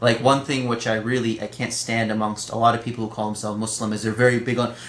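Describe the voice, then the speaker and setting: Noticeable background noise sits behind a man at medium pitch. He talks very fast in a monotone, flat way. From Pakistani family, grew up in Pakistani home. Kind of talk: casual chat.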